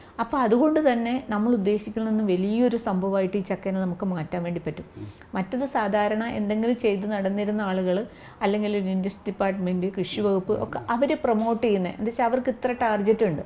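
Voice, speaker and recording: A woman speaks in an unremarkable speaking voice with ordinary pitch variation. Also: medium pitch for a woman. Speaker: jackfruit entrepreneur and trainer. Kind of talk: interview.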